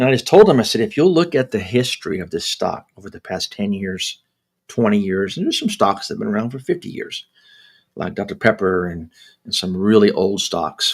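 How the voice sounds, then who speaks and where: On a very clean recording with a silent background, a man talks at a fairly quick pace, his loudness swinging widely. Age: 60s. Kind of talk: casual livestream talk. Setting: live stream. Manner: halting with many repetitions. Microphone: new microphone.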